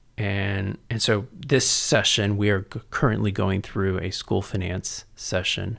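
A man with a plain, everyday voice and an American accent, fairly low in pitch and at a fairly slow pace, on a very clean recording with a silent background. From San Antonio, Texas. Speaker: education policy researcher, former politician. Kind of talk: interview conversation.

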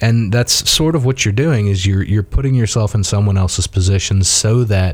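In a Southern US accent, a man with a fairly low, somewhat breathy voice speaks at a moderate pace with lively intonation. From US South. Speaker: priest and police chaplain. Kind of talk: casual interview.

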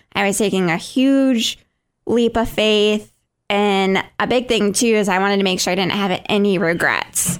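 A woman with an American accent speaks at a moderate pace with fairly even intonation and very even loudness on a very clean recording with a silent background. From Michigan. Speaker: podcast co-host. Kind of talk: casual chat.

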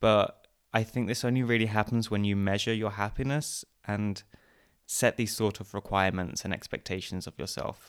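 A man with an Essex accent speaks at a fairly low pitch and moderate pace. His intonation is fairly even, and the recording is very clean with a silent background. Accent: southern English (Essex). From England, Essex. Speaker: podcaster. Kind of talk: interview.

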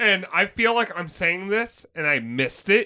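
In a very clean recording with a silent background, a man uses a raised, projected voice with a bright, sharp tone and very wide pitch swings. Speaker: podcast co-host. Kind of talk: casual chat.

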